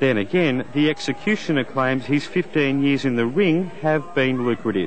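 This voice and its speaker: A man's fairly high voice at a moderate pace, lively intonation, crowd noise in the background. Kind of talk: TV news feature narration.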